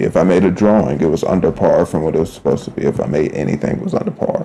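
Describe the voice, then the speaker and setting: A man is mumbling. There is noticeable background noise behind him. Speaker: artist streamer. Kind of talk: casual live-stream talk while drawing. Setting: live stream. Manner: slurring words together.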